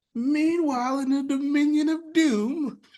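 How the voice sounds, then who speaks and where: A high-pitched voice delivers a put-on character act. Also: moderate pace. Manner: dramatic, exaggerated.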